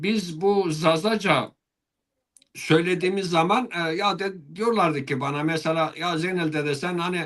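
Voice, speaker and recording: A high-pitched male voice with ordinary variation in pitch. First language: Zazaki (speaking Turkish). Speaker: Alevi religious leader (dede). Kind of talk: interview. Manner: hesitant, many filler sounds.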